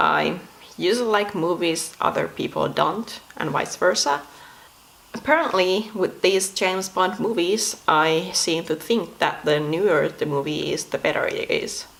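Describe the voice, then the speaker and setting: Against noticeable background noise, a woman speaks fairly slowly at a medium pitch with ordinary variation. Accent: Finnish. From Finland. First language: Finnish. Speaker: video blogger. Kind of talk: casual monologue. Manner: non-native, some pronunciation mistakes.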